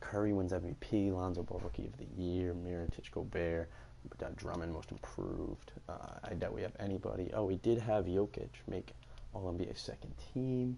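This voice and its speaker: A soft-spoken man with a very deep, low voice, lively intonation and a moderate pace. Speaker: gaming YouTuber. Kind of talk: video game commentary. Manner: halting.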